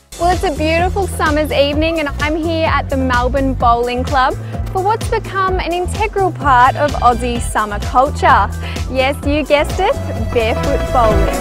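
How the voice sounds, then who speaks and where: A woman's voice in a dry sound with no echo, over clear music in the background. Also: moderate pace. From Australia. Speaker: TV presenter. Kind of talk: TV lifestyle segment presenting. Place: open country.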